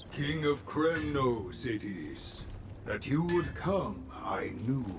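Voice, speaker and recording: Over loud background noise, a man does a put-on character voice at medium pitch and a very slow pace. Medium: video game. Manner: inverted word order, terse.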